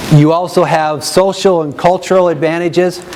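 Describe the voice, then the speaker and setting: A man's voice with noticeable background noise. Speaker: education program representative. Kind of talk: presentation to an audience. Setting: room with live audience, no microphone. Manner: loud.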